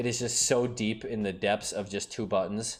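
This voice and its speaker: A man's fairly low-pitched voice. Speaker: gaming streamer. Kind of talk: casual commentary reading patch notes. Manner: fast; animated.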